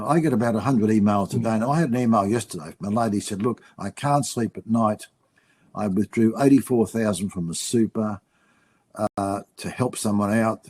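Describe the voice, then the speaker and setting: The speaker has an Australian accent and ordinary pitch variation. The pace is fairly quick. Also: man, fairly low pitch for a man, dry, close sound with no echo. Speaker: finance writer. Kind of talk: webinar panel discussion.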